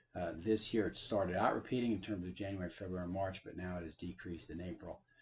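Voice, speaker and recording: A man races along at a very fast pace. His voice is somewhat breathy, with fairly even intonation. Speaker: real estate appraiser giving tutorial. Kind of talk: software tutorial. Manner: many filler uh's.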